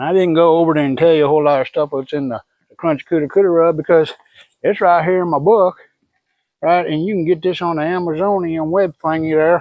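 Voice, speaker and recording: With a Southern US accent, a man speaks at a very fast pace in a high pitch, his intonation fairly even. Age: 60s. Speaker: BBQ pitmaster. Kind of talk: tutorial. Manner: casual, folksy.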